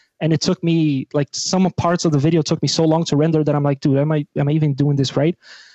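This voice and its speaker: A man talks very fast with hardly any pauses, in a dark, mellow tone at a fairly high pitch, with monotone, flat intonation and very even loudness. The sound is dry and close with no echo, over a quiet background. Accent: Portuguese. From Brazil. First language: Portuguese. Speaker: rock musician. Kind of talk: casual chat.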